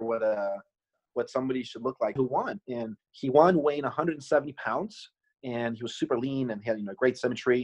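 The pace is moderate. It is an ordinary speaking voice. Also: man, medium pitch for a man, ordinary pitch variation. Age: 40s. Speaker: food company founder. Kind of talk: casual interview chat.

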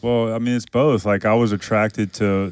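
In a Southern US accent, a man speaks at a moderate pace with monotone, flat intonation. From Louisiana. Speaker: podcast co-host. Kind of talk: casual chat.

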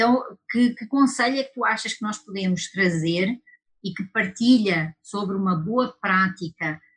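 A woman with a European Portuguese accent speaks at a medium pitch with ordinary pitch variation and a somewhat breathy voice. Her pace is fairly slow, and her loudness swings widely. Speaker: lawyer and webinar host. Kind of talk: webinar discussion. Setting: online webinar.

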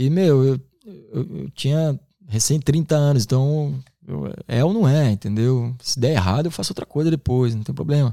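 Here a man speaks at a moderate pace with a medium pitch and ordinary pitch variation. His tone is dark and mellow, and the sound is dry and close with no echo. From Santa Catarina, Brazil (Garopaba area). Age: 30s. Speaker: capoeira teacher and musician. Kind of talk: casual interview.

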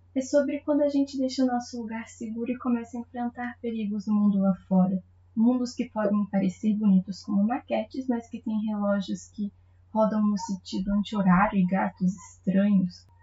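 This somewhat breathy voice moves at a moderate pace with ordinary pitch variation. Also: woman. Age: 20s. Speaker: literary podcast host. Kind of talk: book review monologue.

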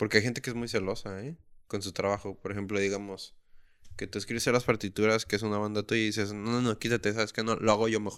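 Very fast and monotone, a man with a fairly low pitch delivers flat intonation on a very clean recording with a silent background. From Mexico, Tijuana. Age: 20s. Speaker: podcast host. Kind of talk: casual chat. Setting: home.

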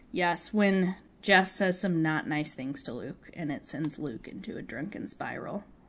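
Her voice fairly low in pitch, a woman with a plain, everyday voice speaks at a fairly slow pace with lively intonation. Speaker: podcast co-host. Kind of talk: casual podcast chat. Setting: recorded remotely, not in the same room.

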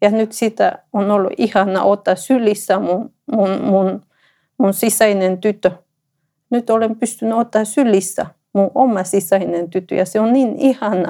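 A woman's medium-pitched voice in a Spanish accent, dark and mellow in tone, with ordinary pitch variation and a fairly slow pace. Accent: Spanish-accented Finnish. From Ecuador. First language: Spanish (speaking Finnish). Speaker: entrepreneur. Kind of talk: personal testimony interview. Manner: halting.

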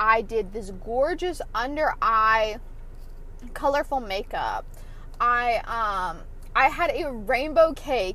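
Raised and projected, this voice with an American accent swings very widely in pitch. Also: woman. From US South, Atlanta area. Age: 20s. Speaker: podcast host. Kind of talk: personal monologue. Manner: casual, filler-heavy.

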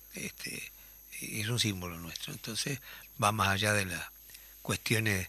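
A fairly slow, fairly low-pitched male voice with a bright, sharp tone. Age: 60s. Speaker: radio host and musician. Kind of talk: casual chat.

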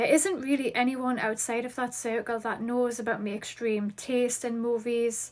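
A woman with a Geordie accent speaks at a high pitch and a moderate pace, with hardly any pauses and fairly even intonation. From Newcastle, northeast England. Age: 30s. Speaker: podcast host. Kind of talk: podcast intro, scripted-feeling chat.

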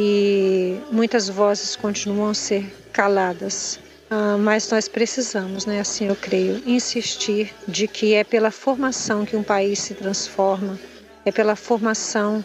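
Speaking very slowly at a medium pitch, a woman keeps a monotone, flat intonation amid noticeable background noise. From Cariacica, Espírito Santo, Brazil. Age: 40s. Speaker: teacher and musician. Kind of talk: testimony.

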